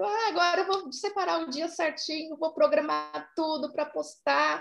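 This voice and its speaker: A woman speaks in a high pitch. Her voice swings very widely in pitch. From São Paulo, Brazil. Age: 30s. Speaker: soap-making artisan. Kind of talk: interview.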